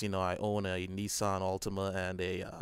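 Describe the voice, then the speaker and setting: With monotone, flat intonation, a man speaks at a moderate pace and a fairly low pitch on a very clean recording with a silent background. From Trinidad. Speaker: gaming YouTuber. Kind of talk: personal reflective monologue. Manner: hesitant, many fillers.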